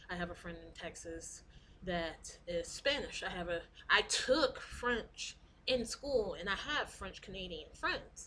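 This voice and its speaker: Over noticeable background noise, a woman talks at a fairly slow pace while her loudness swings widely. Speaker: vlogger. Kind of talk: casual vlog monologue.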